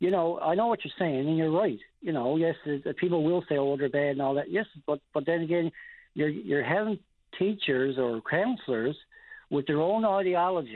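A man's fairly high voice with lively intonation, in a Newfoundland accent. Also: moderate pace. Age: 50s. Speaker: caller, parent. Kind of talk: phone-in call.

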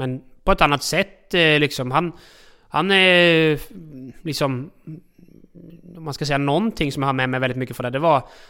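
A man speaks at a moderate pace in a fairly high voice with a bright, sharp tone and ordinary pitch variation. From outside Sweden. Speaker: harness racing trainer's assistant and farrier. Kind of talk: casual interview. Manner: halting.

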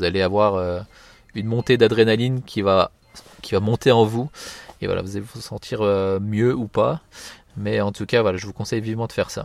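A man at a fairly quick pace and fairly low pitch, fairly even intonation, big swings in loudness, long, frequent pauses. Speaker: podcast host. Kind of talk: casual solo commentary. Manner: hesitant, many fillers.

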